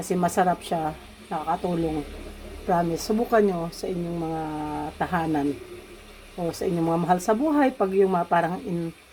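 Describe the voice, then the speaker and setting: Over noticeable background noise, a woman with a fairly low pitch and ordinary pitch variation speaks at a moderate pace with long, frequent pauses. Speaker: cooking vlogger. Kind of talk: cooking tutorial. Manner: casual.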